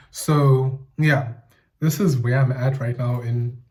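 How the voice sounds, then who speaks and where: A man's somewhat breathy, dark and mellow voice with fairly even intonation. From South Africa, Eastern Cape. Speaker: YouTuber. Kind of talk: casual monologue video essay. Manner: casual, thinking aloud with self-corrections.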